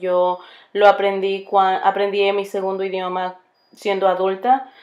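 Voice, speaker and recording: A woman speaks in a monotone with flat intonation, at a medium pitch and with a strong Spanish accent. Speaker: bilingual teacher and graduate student. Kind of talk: recorded class presentation. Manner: halting, many fillers and restarts.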